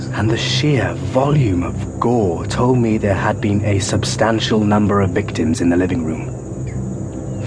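Through noticeable background noise, a man's fairly low voice makes very wide pitch swings. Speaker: audiobook narrator. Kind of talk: dramatic audiobook narration with dialogue. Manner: dark, measured, gothic, a wry dry edge in dialogue, vivid in the gory description.

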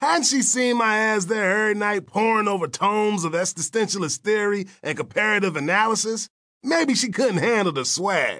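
A man projects a raised voice with a high pitch and a bright, sharp tone, with ordinary pitch variation. He keeps a moderate pace with hardly any pauses against a quiet background.

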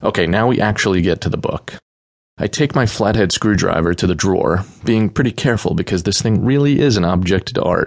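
Speaking at a fairly quick pace with very even loudness, a man uses a deadpan, animated tone in a fairly low pitch. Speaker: audiobook narrator. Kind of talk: dramatic narration of a comic novel, in character as Chip, reading emails aloud. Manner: animated, sarcastic, casual slacker tone with exasperated outbursts; deadpan joking asides, conversational and profane.

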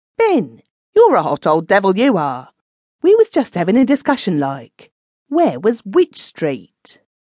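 A woman puts on a whiny character voice at medium pitch, her pitch swinging very widely. She keeps a moderate pace. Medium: read story. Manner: whining, gossipy, then shrill and abusive.

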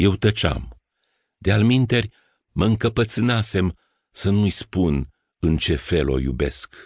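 The speaker uses vocal fry, very wide pitch swings and very even loudness at a very slow pace with long, frequent pauses. The sound is dry and close with no echo over a quiet background. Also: man, very deep, low pitch for a man. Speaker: audiobook narrator. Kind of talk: audiobook narration, reading a first-person literary story aloud. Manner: measured, intimate, reflective storytelling; wistful, tender, unhurried.

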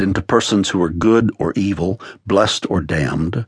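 A man with a plain, everyday voice speaks at a moderate pace and a fairly low pitch. The sound is dry and close, with no echo. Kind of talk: audiobook narration, author reading his own memoir-style spiritual text aloud. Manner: measured, warm, earnest, pastoral tone with reflective pacing.

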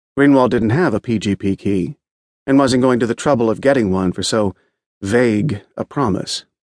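A normal speaking voice with ordinary pitch variation is heard against a quiet background, with a dry, close sound and no echo. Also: man, medium pitch for a man, moderate pace. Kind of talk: audiobook narration of a magazine feature, read aloud. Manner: steady, measured, polished storytelling pace.

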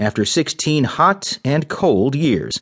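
This is an ordinary speaking voice with lively intonation, recorded with a dry, close sound and no echo. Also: man. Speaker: news reader. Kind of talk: news reading. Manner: formal, brisk headline delivery; even, measured newsreader tone.

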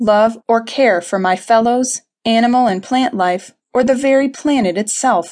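Against a quiet background, a woman with a normal speaking voice talks at a moderate pace, her fairly high pitch showing ordinary pitch variation. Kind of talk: audiobook narration, reading aloud a self-help text. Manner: measured, formal, earnest.

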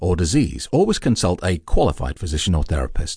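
A man with a very deep, low pitch, vocal fry and a dark, mellow tone speaks over a quiet background. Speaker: audiobook narrator and hypnotist. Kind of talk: hypnosis audiobook narration. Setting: recorded audiobook with background music.

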